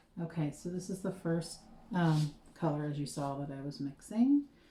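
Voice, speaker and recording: Here a woman speaks in a fairly low pitch, somewhat breathy. Her tone is dark and mellow. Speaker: small business owner making lip gloss. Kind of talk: casual vlog tutorial. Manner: casual with fillers. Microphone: muffled by mask.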